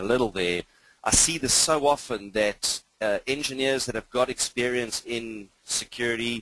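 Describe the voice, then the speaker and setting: A man speaks at medium pitch and a moderate pace, with ordinary pitch variation. His tone is bright and sharp, the sound dry and close with no echo. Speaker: IT security trainer. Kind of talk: webinar lecture. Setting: online webinar. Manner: informal, upbeat.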